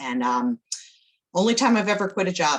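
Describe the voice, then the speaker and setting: With lively intonation, a woman's voice runs at a fairly quick pace. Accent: slight Maryland. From Baltimore, Maryland, US. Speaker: nonprofit executive director. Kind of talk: interview conversation.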